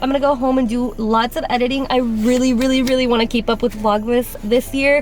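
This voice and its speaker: Speaking at a very fast pace, a woman with a high pitch is heard over noticeable background noise. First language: Spanish. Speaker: lifestyle vlogger. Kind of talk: casual vlog chat. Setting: outdoors. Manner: casual, filler-heavy; animated.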